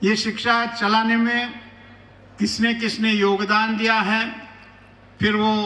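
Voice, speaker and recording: There is audible room echo as a man speaks in a high, raised and projected voice with monotone, flat intonation. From rural Maharashtra. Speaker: chief guest speaker. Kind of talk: ceremonial speech. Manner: formal.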